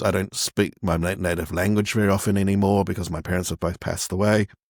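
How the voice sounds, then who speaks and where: Dry and close with no echo on a very clean recording with a silent background, a man speaks with a very deep, low pitch in a New Zealand accent. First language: Cantonese. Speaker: font designer and magazine publisher. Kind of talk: interview. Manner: halting, many fillers and repetitions.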